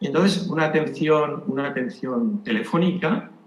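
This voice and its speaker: A man's voice at a moderate pace with very wide pitch swings, plus audible room echo and noticeable background noise. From Spain. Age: 70s. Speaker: retired doctor. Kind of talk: conference talk. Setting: conference with audience.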